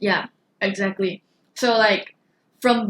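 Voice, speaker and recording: A woman talks in a somewhat breathy voice with monotone, flat intonation. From Malaysia, East Coast. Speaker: podcast co-host. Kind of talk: casual chat.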